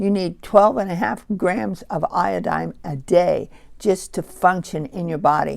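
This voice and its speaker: A woman speaks with a fairly low pitch and vocal fry. Her intonation is lively. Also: fairly slow pace. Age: 70s. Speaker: herbalist. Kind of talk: tutorial.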